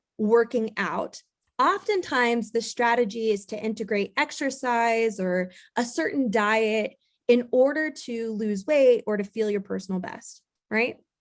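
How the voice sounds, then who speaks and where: In a quiet background, a woman talks at a fairly slow pace. Her voice is fairly high-pitched with ordinary pitch variation. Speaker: real estate business owner and coach. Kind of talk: conference presentation. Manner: loud.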